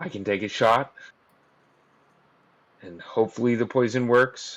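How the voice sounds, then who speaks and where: Putting on a character voice, a man sounds raspy at a medium pitch, moving at a moderate pace with big swings in loudness. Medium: actual play. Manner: hushed.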